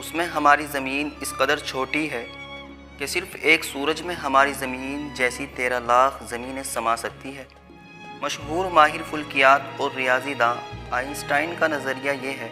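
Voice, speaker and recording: Over music in the background, a man with a fairly high voice keeps fairly even intonation while his loudness swings widely. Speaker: channel owner and voice-over artist. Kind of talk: educational science narration.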